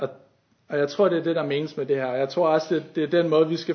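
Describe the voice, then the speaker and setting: The speaker is a man with a fairly high pitch. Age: 20s. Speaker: youth leader and lay preacher. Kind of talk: sermon. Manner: halting.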